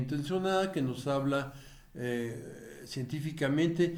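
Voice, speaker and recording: The room echo is audible. A man speaks with lively intonation. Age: 70s. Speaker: political commentator, retired politician. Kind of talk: video commentary monologue. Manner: halting, many fillers.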